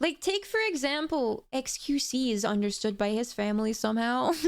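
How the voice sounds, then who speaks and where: This woman's voice sits high in pitch, and she speaks at a moderate pace. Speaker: vtuber streamer. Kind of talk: casual gaming livestream chat.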